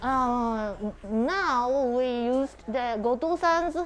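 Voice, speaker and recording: Over noticeable background noise, a woman speaks in a high voice with ordinary pitch variation. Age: 60s. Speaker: local tour guide. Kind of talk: live walking tour. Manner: halting.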